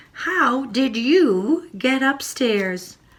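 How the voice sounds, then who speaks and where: A woman performs a put-on character voice pitched high. Her pitch swings very widely. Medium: read story. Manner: exclaiming, puzzled.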